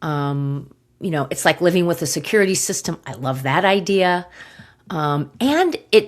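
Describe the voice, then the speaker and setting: Here a woman talks at a fairly low pitch with ordinary pitch variation and a fairly slow pace. The recording is very clean, the background silent. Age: 60s. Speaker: podcast host, gut health practitioner. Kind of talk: personal storytelling podcast. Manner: halting, with many fillers.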